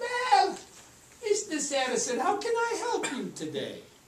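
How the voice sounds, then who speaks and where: A woman does a squeaky put-on character voice at an extremely high pitch with very wide pitch swings. She talks at a moderate pace, with slight echo. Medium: stage play. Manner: calm, reassuring.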